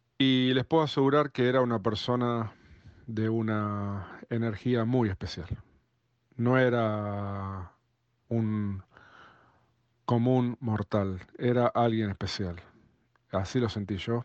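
Speaking very slowly with long, frequent pauses, a man with a Rioplatense accent keeps a medium pitch and fairly even intonation against a quiet background. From Argentina, Buenos Aires. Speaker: drummer. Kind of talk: recorded personal anecdote.

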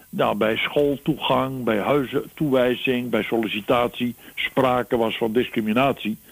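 This man speaks very slowly. His pitch sits in the middle of the male range. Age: 80s+. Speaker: columnist. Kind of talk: conversational interview.

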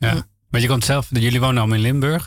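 A man speaks in a monotone with flat intonation. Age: 30s. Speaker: radio co-host. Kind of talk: radio interview. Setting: studio.

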